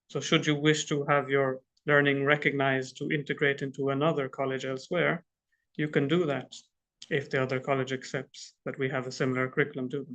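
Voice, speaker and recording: A man with an Irish accent talks at a fairly quick pace, his fairly high pitch held in a monotone, flat intonation. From Ireland. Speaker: international student coordinator at a college. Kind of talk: informational presentation. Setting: live online stream.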